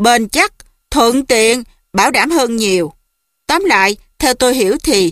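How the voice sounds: A natural reading voice with lively intonation, over a quiet background.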